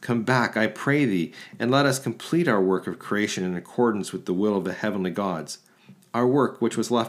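This man speaks at a fairly quick pace with a medium pitch. He uses ordinary pitch variation. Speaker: podcast host reading aloud. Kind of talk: mythic narration. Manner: dramatic, measured storytelling.

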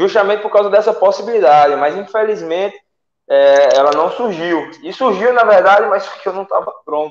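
A man's voice with ordinary pitch variation. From Salgueiro, Pernambuco, Brazil. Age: 20s. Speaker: MMA fighter. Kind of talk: casual interview on live stream.

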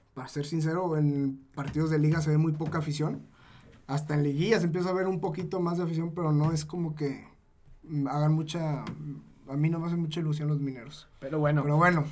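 A fairly high-pitched man at a fairly quick pace, monotone and flat in intonation, with audible room echo. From Zacatecas, Mexico. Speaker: football podcast co-host. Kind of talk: casual sports chat.

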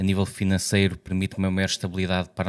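Recorded very cleanly with a silent background and a dry, close sound with no echo, a man speaks at a fairly low pitch in a northern Portuguese accent. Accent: European Portuguese, northern. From Portugal, Trás-os-Montes. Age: 40s. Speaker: insurance agent. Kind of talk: podcast interview.

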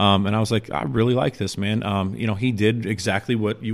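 Using a normal speaking voice with an American accent, a man talks at a fairly quick pace with a fairly low pitch and fairly even intonation. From Chicago, south side. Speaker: graffiti artist. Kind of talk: casual chat.

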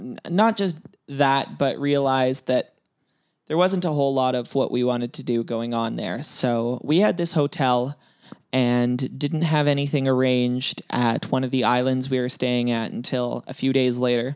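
A man speaks with a Canadian accent at a moderate pace, using a medium pitch and ordinary pitch variation. It is an ordinary speaking voice. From Canada. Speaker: podcast host. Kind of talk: casual chat.

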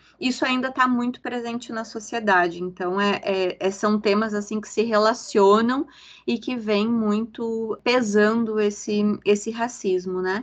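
At a fairly slow pace, a woman speaks in a fairly high voice with fairly even intonation, a normal speaking voice. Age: 40s. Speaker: consultant and activist. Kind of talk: podcast interview.

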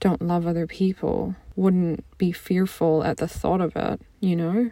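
Her tone dark and mellow, a woman speaks in a fairly low voice with monotone, flat intonation. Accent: American. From US Midwest, near St. Louis, Missouri. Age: 20s. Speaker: podcast host and life coach. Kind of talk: personal monologue.

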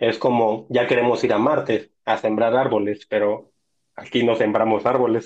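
With very even loudness and a monotone, flat intonation, a man of medium pitch speaks at a moderate pace. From Mexico, Tampico, Tamaulipas. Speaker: technology researcher. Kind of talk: casual interview.

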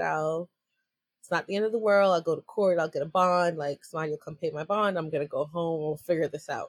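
In a dry, close recording with no echo, a woman with a normal speaking voice talks at a fairly quick pace. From New York. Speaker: entrepreneur and activist. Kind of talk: interview. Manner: casual, laughs often.

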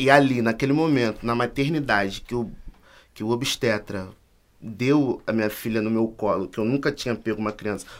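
Recorded very cleanly with a silent background, a man talks at a moderate pace. His is a normal speaking voice, medium in pitch, with ordinary pitch variation. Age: 20s. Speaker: university student and activist. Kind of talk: casual chat.

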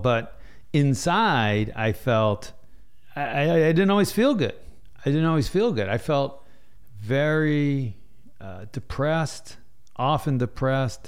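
Speaking with an American accent, a man has a fairly high pitch and very wide pitch swings. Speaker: retired Navy officer and leadership author. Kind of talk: casual interview conversation. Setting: in person, recorded with mics.

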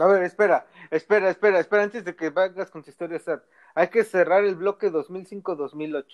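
Dry and close with no echo, the sound has a quiet background. A man with a high pitch and fairly even intonation speaks at a moderate pace, with big swings in loudness. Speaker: podcast host. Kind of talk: casual chat.

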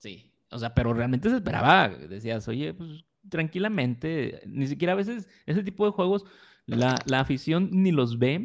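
A man with fairly high pitch, very wide pitch swings and a fairly slow pace. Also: big swings in loudness. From Mexico. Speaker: podcast co-host. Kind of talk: casual chat.

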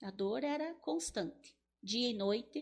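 The pitch swings very widely. The voice is somewhat breathy. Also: woman. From southern Brazil, Paraná interior (Teixeira Soares). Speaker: funeral home owner. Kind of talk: casual interview chat.

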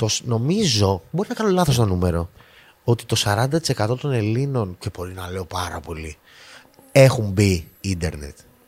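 A man with a fairly low voice speaks at a moderate pace, his pitch swinging very widely, in a very clean recording with a silent background. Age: 30s. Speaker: podcast host. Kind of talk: casual chat.

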